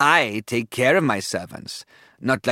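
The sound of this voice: With ordinary pitch variation, an unforced reading voice comes through.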